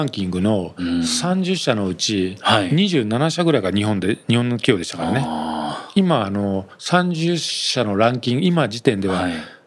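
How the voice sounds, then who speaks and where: A man speaks at a fairly slow pace with very wide pitch swings, and there is noticeable background noise. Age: 50s. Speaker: company executive, entrepreneur. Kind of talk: interview.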